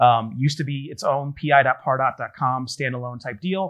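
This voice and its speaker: A man speaks at a medium pitch against a quiet background. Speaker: conference speaker, Salesforce solutions architect. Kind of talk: conference talk. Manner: fast.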